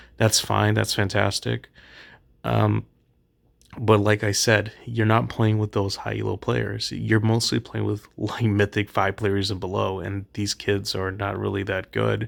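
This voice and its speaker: A soft-spoken man talks at a fairly slow pace. The recording is very clean with a silent background. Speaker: gaming youtuber. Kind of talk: casual commentary. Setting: late at night.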